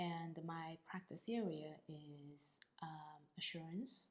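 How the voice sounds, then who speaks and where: A woman speaks with a very deep, low pitch and a somewhat breathy sound, keeping her intonation fairly even. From China. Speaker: accountant. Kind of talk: interview. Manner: halting.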